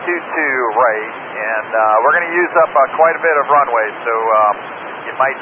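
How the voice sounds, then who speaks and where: Noticeable background noise sits behind a dry sound with no echo. A man talks at a moderate pace with ordinary pitch variation. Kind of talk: radio communication. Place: plane. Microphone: two way radio.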